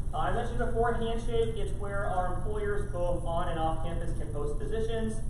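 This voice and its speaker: The speech runs at a fairly quick pace with hardly any pauses, over noticeable background noise. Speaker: university career services staff. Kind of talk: presentation to student senate. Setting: meeting room with microphone. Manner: loud, projecting; fast.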